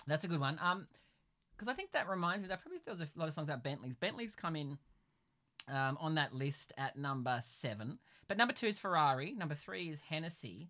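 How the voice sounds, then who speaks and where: This man speaks very fast in an Australian accent, his pitch fairly high. His intonation is lively and his tone bright and sharp. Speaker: podcast host. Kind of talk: casual chat. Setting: home pantry.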